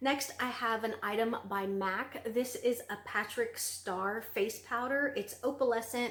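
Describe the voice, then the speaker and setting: With a Southern US accent, a woman speaks at a fairly high pitch with fairly even intonation. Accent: Southern US, sounds country. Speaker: beauty vlogger. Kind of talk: product review vlog. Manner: casual, filler-heavy (um, like).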